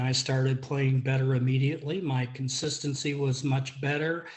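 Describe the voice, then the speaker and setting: A man talks at a fairly quick pace with hardly any pauses. His medium-pitched voice is somewhat breathy, with fairly even intonation. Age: 70s. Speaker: golf student giving a testimonial. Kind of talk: testimony.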